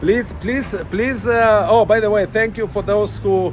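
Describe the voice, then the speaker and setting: Over noticeable background noise, a man with a non-native accent talks at a moderate pace. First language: not English. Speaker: chess parent vlogger. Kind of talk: casual vlog monologue. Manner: halting, many fillers.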